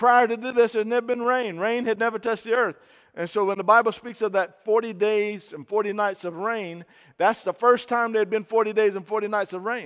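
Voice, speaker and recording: Against a quiet background, a man talks at a fairly quick pace. His pitch is high and his tone animated. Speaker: pastor. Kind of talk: sermon delivered live to a congregation. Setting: church; radio broadcast. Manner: animated, emphatic preaching with call-and-response; conversational, uses fillers like uh and um.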